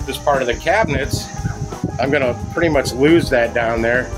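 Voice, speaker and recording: With clear music in the background, a man talks at a fairly brisk clip. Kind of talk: casual walkthrough commentary. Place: home room. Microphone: phone near.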